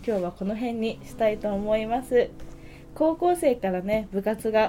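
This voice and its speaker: An ordinary speaking voice from a woman, fairly high in pitch, with ordinary pitch variation and a fairly slow pace. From Hokkaido, Japan. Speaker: podcast host and musician. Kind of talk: casual chat. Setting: studio.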